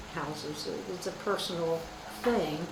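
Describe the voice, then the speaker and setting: A woman with lively intonation speaks at a moderate pace, with audible room echo and noticeable background noise. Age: 80s+. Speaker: retired real estate agent. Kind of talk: casual interview. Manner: halting.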